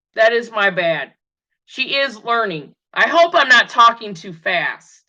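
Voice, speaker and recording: A woman's fairly high voice at a very slow pace, with very wide pitch swings and big swings in loudness against a quiet background. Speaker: tarot reader. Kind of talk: tutorial. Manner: halting.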